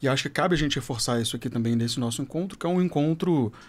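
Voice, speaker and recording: A man talks at a very fast pace. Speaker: educator and school director. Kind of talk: podcast panel discussion.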